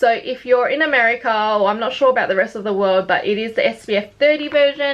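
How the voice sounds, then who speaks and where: A woman with a fairly high voice talks while noticeable background noise plays behind her. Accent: Australian. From Australia. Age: 20s. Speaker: beauty vlogger. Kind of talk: casual chat.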